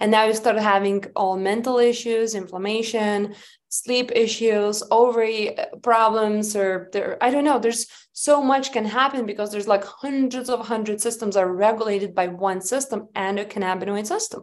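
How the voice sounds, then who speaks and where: Speaking with a Lithuanian accent, a woman keeps a moderate pace with hardly any pauses. Her fairly high pitch has fairly even intonation. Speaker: hemp company founder. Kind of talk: interview.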